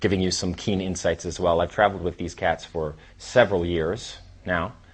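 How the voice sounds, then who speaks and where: A man at a moderate pace with a very deep, low pitch, against a quiet background. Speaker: dating coach. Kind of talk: lecture. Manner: animated.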